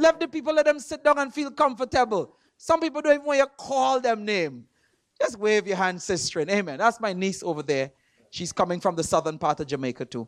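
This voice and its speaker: The delivery is animated and moves at a fairly quick pace. The recording is very clean, with a silent background. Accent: Trinidadian. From Trinidad. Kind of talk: sermon. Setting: church with congregation. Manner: animated, call and response.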